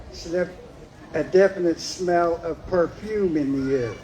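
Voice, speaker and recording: Noticeable background noise under speech with ordinary pitch variation. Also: man. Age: 60s. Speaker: storyteller at community event. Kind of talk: personal ghost story told to audience.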